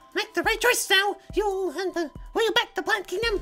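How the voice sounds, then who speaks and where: Faint music plays in the background behind a put-on character voice at an extremely high pitch. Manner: loud, pushy.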